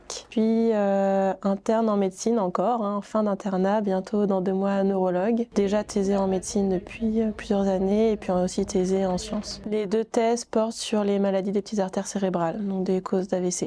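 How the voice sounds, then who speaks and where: A dark, mellow tone at very even loudness, monotone and flat, moderately paced with hardly any pauses. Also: woman, medium pitch for a woman. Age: 30s. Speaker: neurologist and jiu-jitsu competitor. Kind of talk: documentary interview.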